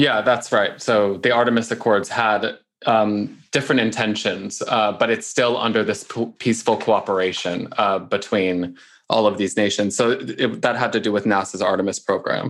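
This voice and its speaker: Against a quiet background, a man talks at a moderate pace with very even loudness. He has an unremarkable speaking voice at medium pitch with fairly even intonation. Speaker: arbitration lawyer.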